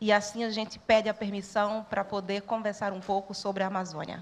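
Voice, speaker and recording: A woman is speaking. Her fairly high voice keeps a moderate pace. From Brazil, sertão of Pernambuco (Northeast). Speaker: social worker and church network educator. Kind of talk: talk to students.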